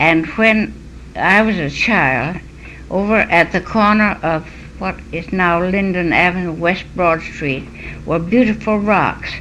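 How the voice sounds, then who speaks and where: A woman with an American accent, fairly low in pitch, with ordinary pitch variation and a very slow pace, over noticeable background noise. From Connecticut, USA. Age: 80s+. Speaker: local historian, historical society curator. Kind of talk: oral history interview answer.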